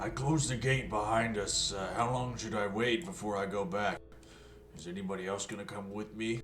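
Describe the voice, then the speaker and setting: Delivered in a put-on character voice at a fairly quick pace, the clip has clear background noise. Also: man, fairly low pitch for a man. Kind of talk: plain, simple.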